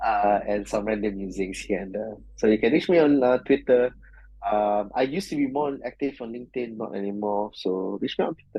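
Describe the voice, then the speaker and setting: Speaking at a fairly quick pace, a man with a Malaysian accent has a fairly low pitch and ordinary pitch variation. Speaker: software engineer. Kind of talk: interview podcast. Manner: loud.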